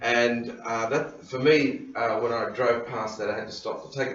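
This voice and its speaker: Over noticeable background noise and audible room echo, a man with an Australian accent talks at a medium pitch and a moderate pace. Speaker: governance trainer. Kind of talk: lecture. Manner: halting, many fillers.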